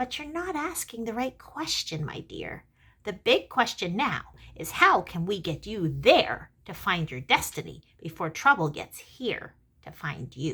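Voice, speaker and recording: The voice sounds female and croaky. It is a put-on character voice. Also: medium pitch for a woman, moderate pace. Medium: read story. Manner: impatient.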